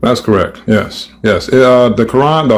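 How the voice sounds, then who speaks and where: This man has an unremarkable speaking voice at a medium pitch. His pace is fairly quick, with ordinary pitch variation. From United States. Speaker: caller in religious debate. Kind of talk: heated debate.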